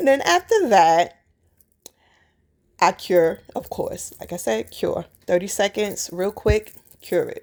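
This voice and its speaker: This woman has a New York accent and an animated tone. She talks at a fairly slow pace and a medium pitch. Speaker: nail artist. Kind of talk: tutorial. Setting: voiceover.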